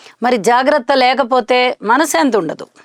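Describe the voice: In a dry, close sound with no echo, a woman talks at a moderate pace with a high pitch and ordinary pitch variation.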